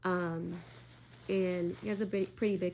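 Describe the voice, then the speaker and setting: This woman's voice sits at a fairly low pitch. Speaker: spiritual YouTuber and podcaster. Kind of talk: casual solo talk / teaching. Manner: hesitant, many fillers.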